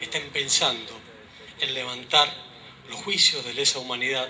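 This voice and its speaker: Light background noise can be heard. A man does the talking. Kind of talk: public speech. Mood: earnest, political. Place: street. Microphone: podium.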